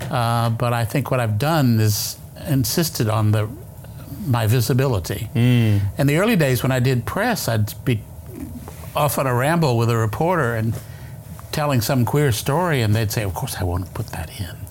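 Against noticeable background noise, a man talks at a moderate pace and medium pitch with ordinary pitch variation. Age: 70s. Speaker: author. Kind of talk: interview. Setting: studio. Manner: halting.

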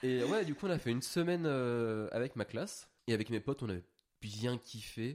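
A man at a moderate pace and medium pitch, in a plain, everyday voice. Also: lively intonation. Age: 20s. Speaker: regular guest, recent graduate. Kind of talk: casual chat.

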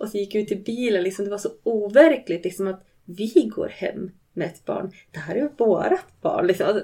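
Her tone is dark and mellow, as a woman speaks at a medium pitch. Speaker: bereaved mother sharing her story. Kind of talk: personal testimony in interview.

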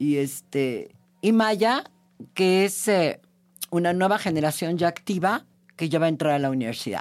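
Fairly slow speech with lively intonation, very even loudness, and long, frequent pauses, music in the background. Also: woman, fairly low pitch for a woman. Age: 70s. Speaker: podcast host and feminist journalist. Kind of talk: casual chat.

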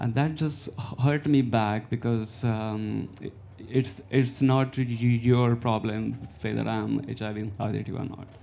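In an Indian accent, a man speaks at a very slow pace with fairly even intonation. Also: medium pitch for a man. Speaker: visual artist and community organiser. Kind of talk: panel discussion. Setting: stage with audience. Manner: halting.

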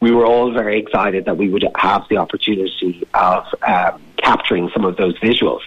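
In an Irish Midlands accent, a man with a fairly low pitch talks at a fairly quick pace with hardly any pauses and fairly even intonation. His loudness stays very even over noticeable background noise. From Irish Midlands, County Laois. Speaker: documentary filmmaker. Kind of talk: radio interview.

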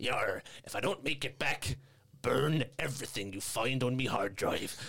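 A raspy, put-on character voice delivered at a moderate pace. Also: man, medium pitch for a man. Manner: cool, swashbuckling.

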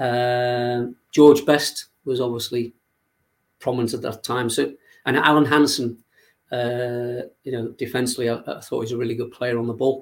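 A man with a Liverpool accent, medium pitch, monotone, flat intonation and a moderate pace. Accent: Liverpool (Scouse) English. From Liverpool, England. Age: 60s. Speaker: youth football coach. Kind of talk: interview. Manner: halting.

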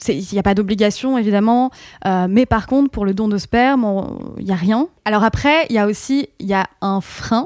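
Dry and close with no echo, a woman speaks in a normal speaking voice at fairly high pitch, with ordinary pitch variation and a moderate pace. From northern France, Picardy. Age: 30s. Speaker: podcaster. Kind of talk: casual chat.

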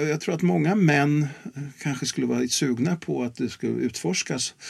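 A man speaks with very wide pitch swings. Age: 70s. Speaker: sex and relationships educator. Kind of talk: interview.

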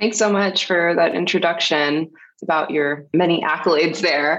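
With an ordinary speaking voice, a woman talks at a fairly low pitch with ordinary pitch variation. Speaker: secondary guest, academic. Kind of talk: interview.

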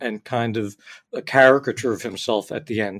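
In a normal speaking voice, a man talks at a moderate pace and medium pitch with ordinary pitch variation, in a very clean recording with a silent background. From US, New Jersey. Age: 60s. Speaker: author and journalist. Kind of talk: interview.

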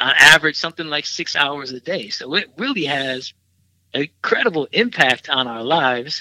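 In an American accent, a man with a normal speaking voice talks at a moderate pace and a fairly high pitch, with ordinary pitch variation, big swings in loudness, and a dry, close sound with no echo. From US Midwest, Milwaukee, Wisconsin. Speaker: filmmaker and film professor. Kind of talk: interview.

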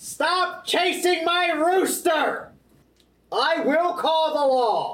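A put-on character voice at an extremely high pitch moves at a very slow pace, with audible echo around it. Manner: angry, shouting.

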